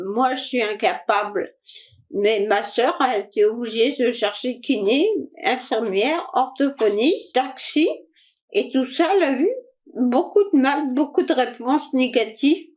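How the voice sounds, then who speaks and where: A woman with a high pitch talks at a very slow pace, her intonation lively and her loudness very even. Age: 60s. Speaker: interviewee with vaccine injury. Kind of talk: testimony. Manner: halting.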